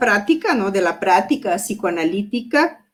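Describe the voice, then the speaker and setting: A woman with a Brazilian accent and a fairly high pitch. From Brazil, Porto Alegre (southern Brazil). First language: Portuguese (speaking Spanish). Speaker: psychoanalyst. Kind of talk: lecture. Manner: halting, many fillers.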